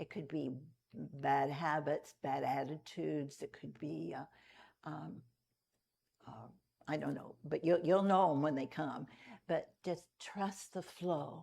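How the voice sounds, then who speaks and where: At a very slow pace, a woman with a very deep, low pitch and a dark, mellow tone uses vocal fry, big swings in loudness, and long, frequent pauses. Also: ordinary pitch variation. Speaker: Unity minister giving a Sunday talk. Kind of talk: church sermon talk to congregation. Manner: conversational, relaxed, with humorous asides.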